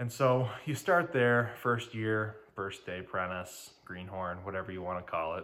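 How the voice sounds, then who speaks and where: With an American accent, a man speaks fairly slowly and hardly pauses, his fairly low voice bright and sharp in tone with lively intonation amid audible room echo. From Detroit, Michigan. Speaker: electrical contractor and podcast host. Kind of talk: casual solo talk. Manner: filler-heavy, conversational.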